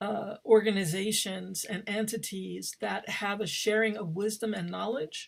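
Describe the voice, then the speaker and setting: The speaker is a woman with a medium pitch. She talks at a fairly slow pace. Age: 60s. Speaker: theater director and professor. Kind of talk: panel talk. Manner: halting.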